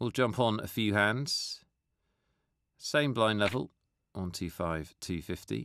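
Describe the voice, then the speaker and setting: At a very slow pace with long, frequent pauses, a man speaks in a fairly low pitch with lively intonation. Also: quiet background. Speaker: poker commentator. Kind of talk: live commentary.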